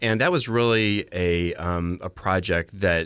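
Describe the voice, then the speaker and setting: Against a quiet background, a man talks at a very deep, low pitch. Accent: American. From Phoenix, Arizona. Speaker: hospital fundraising executive. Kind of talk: interview.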